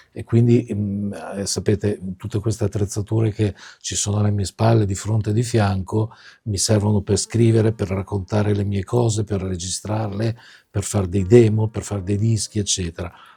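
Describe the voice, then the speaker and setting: A man's fairly low-pitched, somewhat breathy voice, dark and mellow in tone, with monotone, flat intonation and a strong Milanese accent. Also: moderate pace, dry, close sound with no echo. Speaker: singer-songwriter. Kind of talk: casual video monologue.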